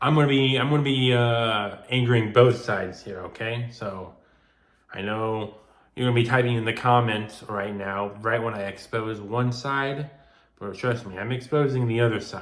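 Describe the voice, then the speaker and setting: Mumbling, a man speaks at a moderate pace and medium pitch. His intonation is fairly even, with big swings in loudness. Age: young. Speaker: gun collector. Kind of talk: casual talk to camera. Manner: unedited, some mumbling and stuttering.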